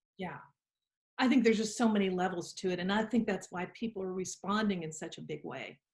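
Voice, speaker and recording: A woman talks at a fairly quick pace and medium pitch with ordinary pitch variation. Her voice is somewhat breathy, with big swings in loudness. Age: 60s. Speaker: interviewer, lawyer. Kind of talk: interview conversation.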